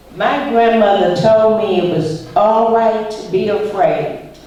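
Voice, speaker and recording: A woman's medium-pitched voice with an American accent, very slow pace and ordinary pitch variation, amid noticeable background noise and audible room echo. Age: 60s. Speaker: civil rights activist. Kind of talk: school Q&A talk. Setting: school visit with students.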